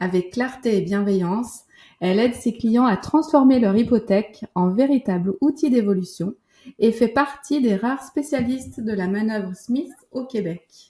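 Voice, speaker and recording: A woman speaks at a fairly slow pace in a fairly high pitch. Her tone is dark and mellow, with ordinary pitch variation. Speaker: podcast host. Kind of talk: interview; scripted introduction.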